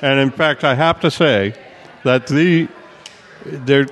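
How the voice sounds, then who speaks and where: There is noticeable background noise as a man talks. He keeps a fairly slow pace with ordinary pitch variation. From Brooklyn, New York. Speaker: music and sports journalist. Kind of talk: casual chat.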